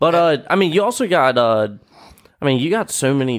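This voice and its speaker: A man talks at a fairly quick pace with an Appalachian accent. The recording is very clean, the background silent. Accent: Appalachian American English. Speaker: podcast host, army veteran. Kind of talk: casual chat. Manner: casual, profane.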